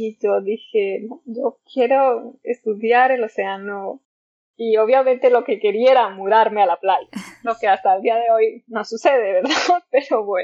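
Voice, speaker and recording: This is a normal speaking voice with ordinary pitch variation. It moves at a fairly slow pace. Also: woman, fairly high pitch for a woman. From Mexico, Zacatecas. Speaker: oceanographer. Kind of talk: interview.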